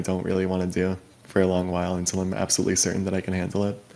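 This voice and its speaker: A man speaks very fast in a very deep, low pitch. His dark, mellow tone stays monotone and flat. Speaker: streamer addressing allegations. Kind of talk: casual livestream talk.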